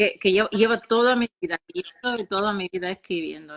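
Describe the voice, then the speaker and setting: Medium-pitched woman with a bright, sharp tone, fairly even intonation and a moderate pace, dry and close with no echo. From Ukraine, Odessa. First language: Russian (speaking Spanish). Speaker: children's author and philologist. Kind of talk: interview. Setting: live stream.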